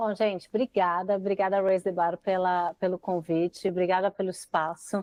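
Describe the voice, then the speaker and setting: Speaking at a moderate pace with hardly any pauses, a woman holds a medium pitch, her intonation monotone and flat and her loudness very even. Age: 40s. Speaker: marketing director. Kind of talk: podcast interview.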